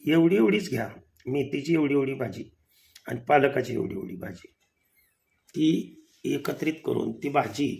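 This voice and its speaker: With a fairly high pitch, a man speaks with vocal fry. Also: lively intonation. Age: 60s. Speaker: kirtan singer and preacher. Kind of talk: home remedy tutorial.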